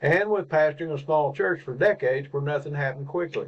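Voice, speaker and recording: A man's fairly high-pitched voice in a Southern US accent, with ordinary pitch variation. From Arkansas, USA. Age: 70s. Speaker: pastor and beekeeper. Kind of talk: reflective personal talk to camera.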